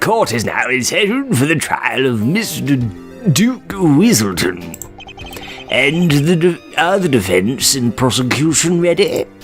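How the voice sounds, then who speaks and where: Over clear background music, a man does a put-on character voice at a fairly high pitch and a fairly slow pace. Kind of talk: formal, courtroom.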